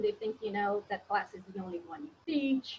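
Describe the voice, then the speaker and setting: A woman with a Portuguese accent talks at a moderate pace in a fairly high pitch, sounding somewhat breathy. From Brazil. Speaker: professor. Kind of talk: webinar panel discussion.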